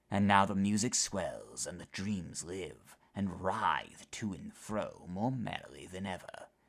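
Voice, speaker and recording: Using a put-on character voice, a man with a fairly low pitch speaks at a fairly slow pace with hardly any pauses. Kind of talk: horror narration. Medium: read story. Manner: measured, dramatic.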